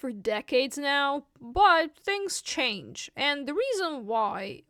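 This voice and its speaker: At a very slow pace, a speaker with a Russian accent has a bright, sharp tone in a dry, close sound with no echo. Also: woman, very clean recording, silent background. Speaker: vlogger. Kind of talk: casual explainer monologue.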